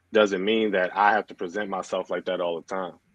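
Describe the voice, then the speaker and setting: A man with a slight Baltimore accent, in a dry, close sound with no echo. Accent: Baltimore accent, comes out only a little. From Baltimore, Maryland, US. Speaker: DJ and clothing brand owner. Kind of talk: casual interview chat. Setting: live stream.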